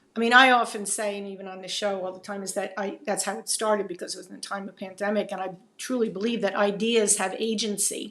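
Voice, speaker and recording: A woman speaks at medium pitch with a bright, sharp tone and monotone, flat intonation. She goes at a very fast pace with hardly any pauses and big swings in loudness. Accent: New Jersey. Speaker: videocast host. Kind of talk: interview conversation.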